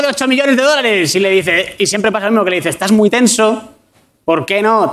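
Lively intonation marks a man's speech. He moves along at a fairly quick pace. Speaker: comedian. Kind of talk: comedic banter. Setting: studio with live audience.

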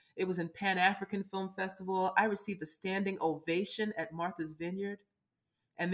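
The speaker talks at a fairly quick pace in a Brooklyn accent. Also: woman. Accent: New York (Brooklyn). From US Northeast, Brooklyn, New York. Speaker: casting director and producer. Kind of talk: interview. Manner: animated.

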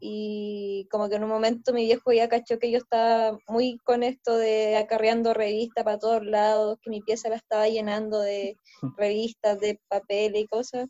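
A woman with a Chilean accent speaks at a fairly high pitch, barely pausing. Her intonation is monotone and flat. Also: moderate pace. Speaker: podcast host and collage artist. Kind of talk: casual chat.

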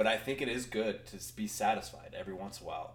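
A man talks at a very fast pace. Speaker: podcast host. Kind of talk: casual chat. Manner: casual, excitable.

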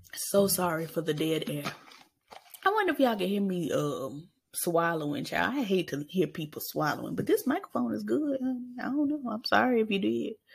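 Animated and somewhat breathy, a woman of medium pitch talks at a fairly quick pace with very wide pitch swings. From Arkansas, US South. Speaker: podcast host. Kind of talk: casual monologue.

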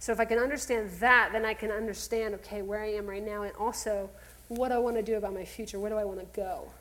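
Someone talks at a very fast pace in an American accent, with audible room echo. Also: woman, fairly high pitch for a woman, fairly even intonation. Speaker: counselor. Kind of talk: talk to church audience. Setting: stage with audience.

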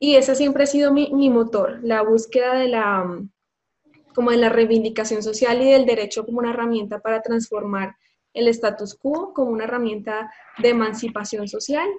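A woman with a normal speaking voice, fairly high in pitch, at a moderate pace with fairly even intonation. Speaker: lawyer. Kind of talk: interview.

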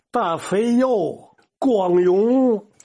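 A man speaks at a very slow pace. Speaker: dialect expert. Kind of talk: lecture.

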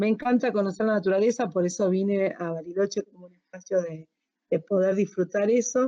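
Her medium-pitched voice has a dark, mellow tone. The woman speaks at a moderate pace. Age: 50s. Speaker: HR and organizational consultant. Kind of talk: casual chat. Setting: recording from home.

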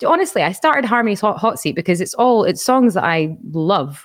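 With a Scottish accent, a woman talks at a fairly quick pace, her intonation lively. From Scotland. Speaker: audio engineer and musician. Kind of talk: casual chat.

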